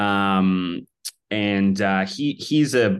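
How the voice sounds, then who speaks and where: An unremarkable speaking voice belongs to a man at fairly low pitch with ordinary pitch variation against a quiet background. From Vancouver, Canada. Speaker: filmmaker, director. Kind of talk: casual interview chat.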